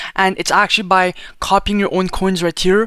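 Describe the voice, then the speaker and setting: With a high voice, a man talks at a fairly quick pace. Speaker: crypto content creator. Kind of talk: tutorial. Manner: fast; casual, filler-heavy.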